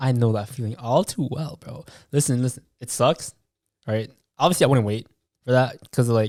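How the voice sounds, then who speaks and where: A man speaks at medium pitch and a moderate pace with ordinary pitch variation, long, frequent pauses and big swings in loudness. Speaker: podcast co-host. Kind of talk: casual chat. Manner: animated.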